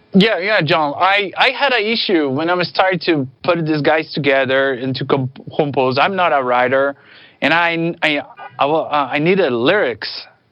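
At a moderate pace, a man with a non-native accent speaks in a fairly high pitch with ordinary pitch variation. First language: not English. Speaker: band leader musician.

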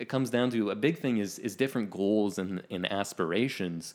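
A man with a Canadian accent, an unremarkable speaking voice, fairly low in pitch, at a moderate pace with ordinary pitch variation. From rural Ontario, Canada. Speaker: podcast co-host. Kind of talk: casual chat.

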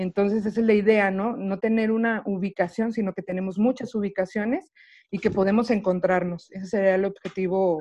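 This woman has an unremarkable speaking voice at medium pitch. Her intonation is fairly even and her pace moderate. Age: 30s. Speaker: poet and video maker. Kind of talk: casual interview. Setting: video call.

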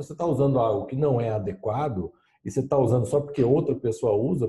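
Somewhat breathy, this man's voice has a dark, mellow tone. He speaks at a fairly quick pace. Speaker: lean management consultant. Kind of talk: casual chat.

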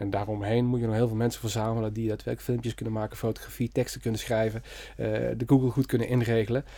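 In a very clean recording with a silent background, a man speaks at a medium pitch in a dark, mellow tone. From Netherlands, Limburg (Merselo near Venray). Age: 40s. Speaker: creative entrepreneur, design studio founder. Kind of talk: interview. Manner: energetic.

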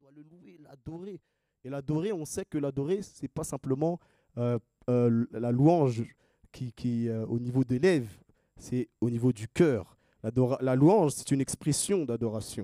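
A man's dark, mellow tone with lively intonation, big swings in loudness, long, frequent pauses, and a dry, close sound with no echo. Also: medium pitch for a man, fairly slow pace. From Haiti. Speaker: preacher. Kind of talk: sermon. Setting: church. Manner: animated.

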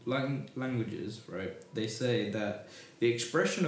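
Against noticeable background noise, a man with a British accent talks at a moderate pace and medium pitch, with ordinary pitch variation. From Britain. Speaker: discussion stream host. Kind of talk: casual chat. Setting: live stream.

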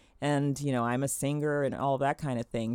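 The recording is very clean and the background silent. A woman talks in a very deep, low register. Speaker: podcast host, professional singer. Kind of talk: podcast interview intro and chat.

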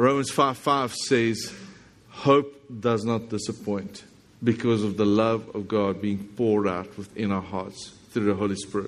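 A man with a South African accent speaks at a fairly low pitch. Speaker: visiting pastor. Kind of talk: sermon. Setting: church with congregation.

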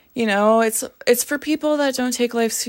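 A woman speaks with a western Canadian accent in a very clean recording with a silent background. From Canada, northern Alberta (small town). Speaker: film journalist, horror and metal commentator. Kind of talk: casual monologue. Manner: animated.

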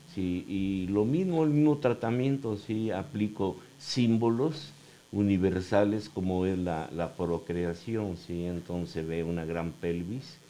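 A man speaks very slowly in a fairly low, dark, mellow voice. His intonation is lively. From Mexico, Cuautla, Morelos. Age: 70s. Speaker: painter and graphic designer. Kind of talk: interview. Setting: studio.

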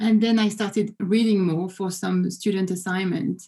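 A woman's medium-pitched, somewhat breathy voice with a dark, mellow tone, monotone, flat intonation, moderate pace, and a French accent. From France. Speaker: business professor. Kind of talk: interview. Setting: video call.

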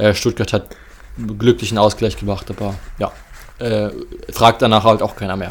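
Using a moderate pace with long, frequent pauses, a man speaks in a flat monotone at a fairly low pitch with vocal fry. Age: 20s. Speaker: football podcast co-host. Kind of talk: casual chat.

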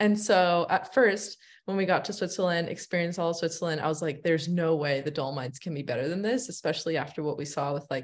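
Here a woman with an American accent speaks in a normal speaking voice. Her pitch is fairly low, with ordinary pitch variation. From United States, Iranian American family. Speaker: travel content creator. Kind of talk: casual interview chat.

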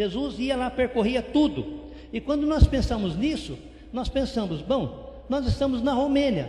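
An extremely high-pitched male voice at a fairly slow pace, with noticeable background noise and audible room echo. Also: ordinary pitch variation. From interior of São Paulo, Brazil. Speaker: missionary pastor. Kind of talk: sermon.

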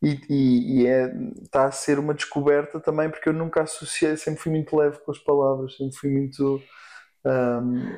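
Here a man has a fairly high pitch and a dark, mellow tone. He speaks at a moderate pace in a European Portuguese accent. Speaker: singer-songwriter and producer. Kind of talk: casual chat.

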